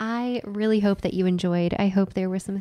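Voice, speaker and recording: A soft-spoken woman's dark, mellow voice at a moderate pace over a quiet background. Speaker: nutritional therapist and lifestyle coach podcast co-host. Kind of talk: casual chat.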